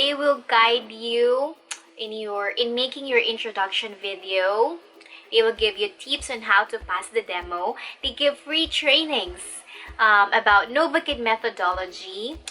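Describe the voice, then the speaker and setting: A woman with a Filipino accent, fairly high pitch, lively intonation and a fairly slow pace, with music in the background. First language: Tagalog. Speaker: online ESL teacher and YouTuber. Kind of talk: tutorial.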